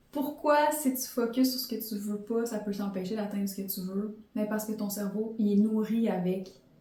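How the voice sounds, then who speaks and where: A woman with a fairly high pitch and ordinary pitch variation speaks at a moderate pace, her loudness swinging widely amid audible room echo. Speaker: podcast host and life coach. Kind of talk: motivational podcast monologue.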